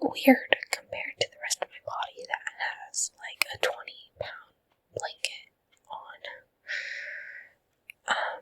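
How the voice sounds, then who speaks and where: Whispering at a very slow pace, a woman is heard dry and close with no echo. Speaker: ASMR creator. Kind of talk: whispered ASMR ramble. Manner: whispering, soft, slow, with yawns.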